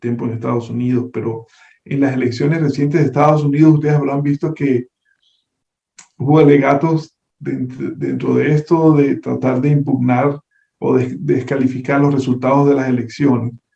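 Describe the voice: A man with a Venezuelan accent speaks at a moderate pace in a dark, mellow tone with vocal fry, a slightly husky edge and fairly even intonation. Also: medium pitch for a man.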